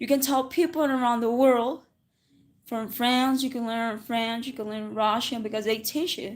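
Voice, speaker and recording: Against a silent background in a very clean recording, a woman with a Spanish accent speaks at a moderate pace in a high pitch with fairly even intonation. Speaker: English teacher. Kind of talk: livestream English lesson. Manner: casual, with self-corrections and restarts.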